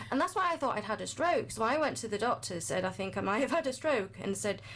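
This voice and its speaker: A woman at a very fast pace and a fairly high pitch, with very wide pitch swings and noticeable background noise. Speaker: health and wellbeing coach. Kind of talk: podcast interview, personal testimony.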